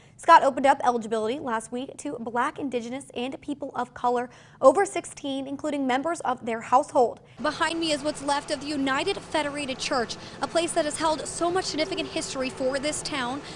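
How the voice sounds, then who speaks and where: Noticeable background noise runs under this clip. A woman speaks at a very fast pace in a high pitch. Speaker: local TV news reporter. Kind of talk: TV news reporter stand-up and live report. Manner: clear, professional, newscaster delivery.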